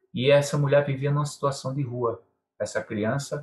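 Fairly rapid, slightly breathy male speech. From Pernambuco interior, Brazil. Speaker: maracatu master and carnival bloc leader. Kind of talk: interview.

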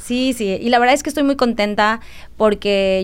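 A woman talks at a moderate pace in an ordinary speaking voice. Her pitch varies in an ordinary way. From Mexico, Quintana Roo near Campeche border. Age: 30s. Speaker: activist. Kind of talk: interview.

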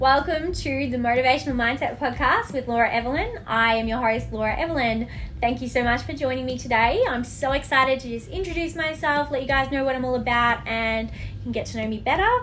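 Against noticeable background noise and audible room echo, a woman with an Australian accent and a high pitch talks at a very fast pace with ordinary pitch variation. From Australia, Melbourne. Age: 20s. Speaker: podcast host, life coach. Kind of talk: casual monologue. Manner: chatty, filler-heavy.

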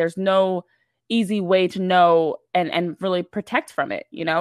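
A woman's plain, everyday voice at medium pitch, with fairly even intonation. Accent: American. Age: 20s. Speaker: sports reporter. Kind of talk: casual interview.

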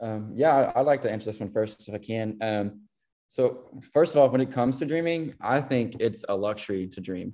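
Speaking with a Southern US accent, a man has a medium pitch, a dark, mellow tone and ordinary pitch variation. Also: moderate pace. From western Kentucky. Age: 20s. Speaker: nonprofit co-founder. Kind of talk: casual interview.

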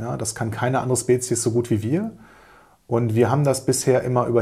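A man talks at a fairly quick pace and a medium pitch. His tone is dark and mellow and somewhat breathy. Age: 40s. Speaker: business coach and podcast host. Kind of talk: solo podcast monologue. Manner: hesitant fillers.

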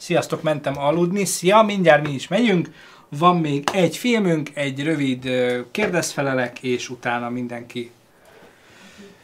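Fairly slow with long, frequent pauses, a man with fairly high pitch speaks in lively intonation, his loudness swinging widely. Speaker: streamer and film discussion host. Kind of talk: casual live stream chat.

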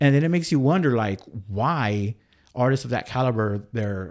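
A man with an American accent at a medium pitch and moderate pace, with lively intonation and an ordinary speaking voice. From Texas, San Angelo. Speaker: radio DJ. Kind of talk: casual chat. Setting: studio.

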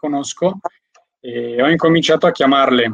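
Fairly high in pitch, a man speaks in an unremarkable speaking voice with ordinary pitch variation. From Albanian heritage. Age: 20s. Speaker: network marketer and window fitter. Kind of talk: interview.

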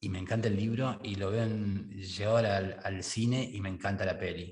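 In a Rioplatense accent, a man with a fairly low pitch and a somewhat breathy voice speaks in a monotone, flat intonation. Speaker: podcast host. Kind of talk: casual interview chat.

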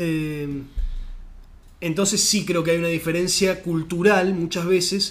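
This man's voice is high-pitched and monotone, with flat intonation. He talks fairly slowly, with long, frequent pauses. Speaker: podcast host. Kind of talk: casual chat.

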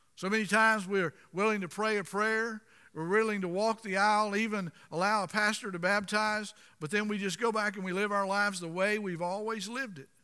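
A man speaks at a fairly quick pace in a raised, projected voice, high in pitch. His tone is bright and sharp and his intonation fairly even. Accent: American. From Florida. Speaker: pastor. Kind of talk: sermon. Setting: church.

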